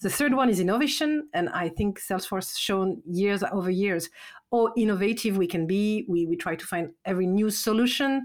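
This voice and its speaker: On a very clean recording with a silent background, a woman in a French accent speaks at a moderate pace and medium pitch with lively intonation. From France. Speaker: sales enablement leader. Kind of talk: podcast interview.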